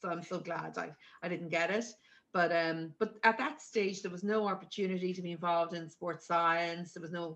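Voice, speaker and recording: Fairly low-pitched woman's voice in an Irish accent, fairly even in intonation, at a fairly quick pace. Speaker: sports governing body executive. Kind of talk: casual chat. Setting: video call.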